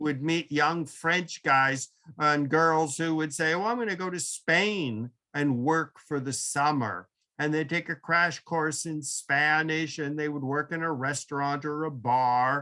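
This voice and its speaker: Here a man with an American accent speaks at a fairly high pitch and a fairly slow pace. His tone is bright and sharp, with ordinary pitch variation, in a very clean recording with a silent background. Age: 70s. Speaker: professor. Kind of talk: lecture Q&A.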